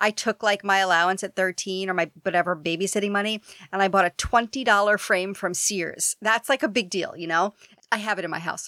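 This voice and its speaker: Speaking at a fairly quick pace with an animated tone, a woman with a New York accent comes through dry and close with no echo, on a very clean recording with a silent background. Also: medium pitch for a woman, ordinary pitch variation. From New York City, Queens. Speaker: podcast host and TV executive. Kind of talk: casual interview chat.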